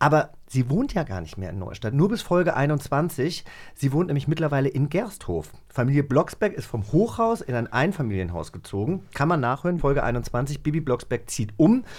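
Speaking at a moderate pace, a man with a fairly high pitch sounds animated, with vocal fry and very wide pitch swings. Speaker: podcast co-host. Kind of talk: casual chat.

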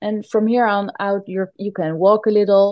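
A woman with a Dutch accent, fairly high in pitch, with a dark, mellow tone and a very slow pace, recorded dry and close with no echo against a quiet background. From Netherlands. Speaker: yoga teacher. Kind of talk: casual chat; guided movement instruction.

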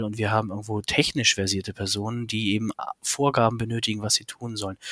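Recorded very cleanly with a silent background, a man speaks in a monotone, flat delivery at medium pitch and a moderate pace. The sound is dry and close, with no echo. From Hamburg, northern Germany. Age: 30s. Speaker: business consultant, requirements engineer. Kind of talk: interview.

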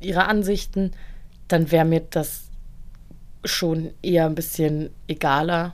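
Her intonation is monotone and flat. This woman speaks with a fairly low pitch. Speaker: podcast co-host. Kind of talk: casual chat.

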